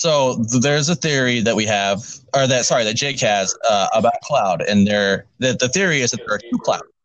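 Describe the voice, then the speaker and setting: A man with an ordinary speaking voice, medium pitch, ordinary pitch variation, moderate pace and very even loudness. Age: 30s. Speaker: gaming podcast host. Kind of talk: casual chat.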